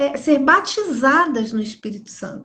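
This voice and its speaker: Very wide pitch swings mark this woman's speech, delivered at a very slow pace. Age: 60s. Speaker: pastor. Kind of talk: religious live stream talk. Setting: Instagram live.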